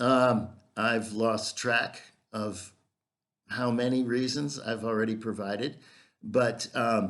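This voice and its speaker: In an American accent, a man speaks very slowly at a medium pitch, his intonation monotone and flat, with long, frequent pauses. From US Midwest, Minnesota. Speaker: English teacher. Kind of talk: self-promotional video introduction. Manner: hesitant with fillers.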